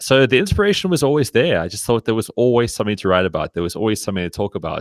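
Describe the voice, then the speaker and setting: A man speaks with a South African accent. The sound is dry and close with no echo, on a very clean recording with a silent background. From South Africa, Cape Town. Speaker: sports blogger. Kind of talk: podcast interview. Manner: halting, many fillers and restarts.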